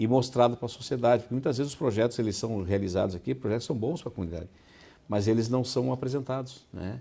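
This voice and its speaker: A man speaks in a dark, mellow tone. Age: 60s. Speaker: city council president. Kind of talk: interview. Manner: hesitant, with fillers.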